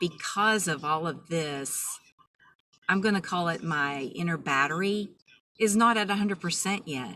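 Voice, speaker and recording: A woman's calm, fairly low voice with ordinary pitch variation. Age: 50s. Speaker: vlogger sharing personal story. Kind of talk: personal testimony. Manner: slow and calm.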